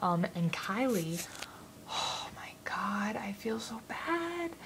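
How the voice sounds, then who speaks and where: A woman speaks quietly over noticeable background noise. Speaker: vlogger. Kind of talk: casual vlog. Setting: home at night. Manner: quiet, keeping voice down. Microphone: too quiet, very close to the camera.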